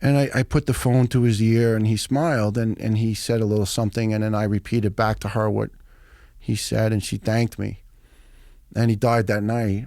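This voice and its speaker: A man with an American accent and an unremarkable speaking voice, at a fairly quick pace with fairly even intonation. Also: fairly low pitch for a man. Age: 50s. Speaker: retired firefighter. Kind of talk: storytelling in podcast interview.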